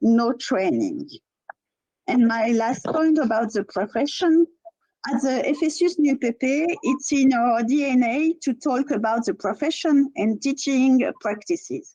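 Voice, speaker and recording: In a French accent, a woman speaks at a very slow pace. Her tone is dark and mellow. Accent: French accent, musical. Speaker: teachers' union representative. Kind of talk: prepared speech at webinar. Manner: halting, with self-corrections.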